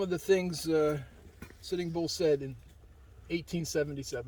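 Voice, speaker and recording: Speaking at a fairly slow pace with a Philadelphia accent, a man shows ordinary pitch variation. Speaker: hiking guide. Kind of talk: reading aloud; guided tour talk. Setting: outdoors on a hike.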